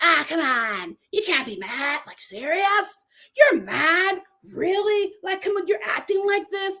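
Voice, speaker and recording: A put-on character voice with an extremely high pitch comes at a fairly slow pace. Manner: dismissive, incredulous, mocking.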